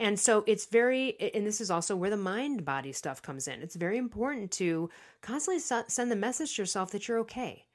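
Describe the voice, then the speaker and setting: A woman with an American accent talks at a very fast pace and medium pitch, her pitch swinging very widely. The recording is very clean, with a silent background. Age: 40s. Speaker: author and podcast host. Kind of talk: casual interview chat. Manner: fast talker.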